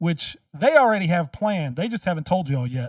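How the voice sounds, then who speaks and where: A loud voice with lively intonation comes through on a very clean recording with a silent background. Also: man. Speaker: commentary video host and local candidate. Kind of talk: reaction commentary.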